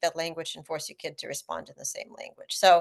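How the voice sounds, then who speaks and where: A woman with a Russian accent at a fairly quick pace, quiet background. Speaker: author. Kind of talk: panel discussion.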